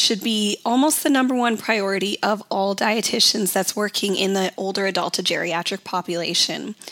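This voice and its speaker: A woman talks at a moderate pace and a fairly high pitch. There is noticeable background noise. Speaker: podcast host, dietitian. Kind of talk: educational podcast monologue. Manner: informative, teaching tone.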